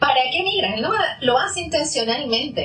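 A woman's raised, projected voice, high in pitch with very wide swings, over noticeable background noise. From Venezuela. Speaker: psychologist. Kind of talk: interview, explanatory.

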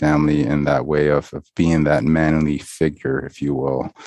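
A man with a very deep, low pitch, speaking fairly slowly in a monotone, flat intonation. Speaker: podcast co-host. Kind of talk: casual conversation. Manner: reflective, with many filler words.

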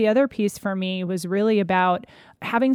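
At a moderate pace, a woman talks in a medium pitch with an unremarkable speaking voice, on a very clean recording with a silent background. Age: 40s. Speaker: cancer survivor and patient advocate. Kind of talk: interview testimony.

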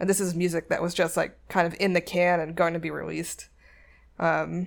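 Vocal fry runs through a woman's fairly low-pitched voice. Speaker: music podcast host. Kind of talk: casual solo music show hosting. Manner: casual, conversational.

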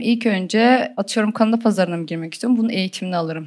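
A woman has an ordinary speaking voice, fairly high in pitch with ordinary pitch variation. It is a very clean recording with a silent background. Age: 20s. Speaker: e-commerce entrepreneur. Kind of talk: interview. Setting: studio with audience.

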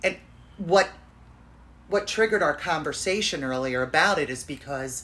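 Her pitch very deep and low, a woman speaks at a moderate pace with lively intonation and long, frequent pauses. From Florida, US. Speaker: podcast host.

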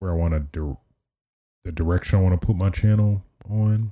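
A man speaks in a dark, mellow tone that is somewhat breathy. The recording is very clean, with a silent background. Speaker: gaming podcaster and streamer. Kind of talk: casual podcast chat. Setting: live stream. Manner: hesitant, many fillers.

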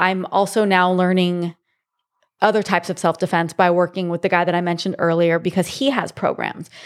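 A woman with an American accent speaks at a fairly quick pace, her fairly low voice keeping a fairly even intonation over a very clean recording with a silent background. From Southern California (Monrovia, LA area). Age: 40s. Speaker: jiu jitsu instructor and actress. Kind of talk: casual chat.

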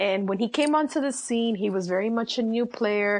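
In a normal speaking voice, a woman talks at a moderate pace with ordinary pitch variation against a quiet background. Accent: American. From New York City. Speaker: sports writer. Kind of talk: casual interview.

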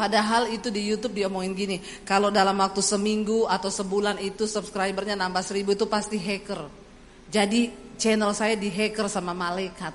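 Audible room echo surrounds a woman speaking at medium pitch with monotone, flat intonation. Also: fairly quick pace. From Indonesia, Central Sulawesi (Poso). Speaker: evangelist preacher. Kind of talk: sermon.

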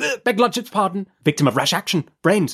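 A man's put-on character voice, high-pitched and fairly bright, with lively intonation, vocal fry, a slightly husky edge and a fairly quick pace, on a very clean recording with a silent background

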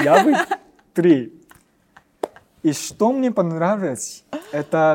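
A man with a Japanese accent talks at a high pitch, making very wide pitch swings. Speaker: ballet dancer. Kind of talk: interview. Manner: halting.

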